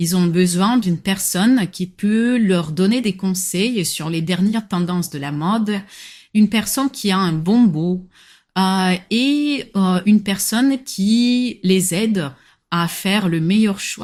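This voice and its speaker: A very slow, somewhat breathy voice on a very clean recording with a silent background. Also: woman, medium pitch for a woman, ordinary pitch variation. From Morocco, near Agadir. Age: 20s. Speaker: personal shopper. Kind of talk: interview. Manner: hesitant, frequent filler sounds.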